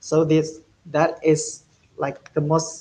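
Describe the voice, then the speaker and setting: A man with an Indonesian accent speaks at a fairly high pitch, sounding somewhat breathy. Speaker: speech contest judge. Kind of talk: feedback interview.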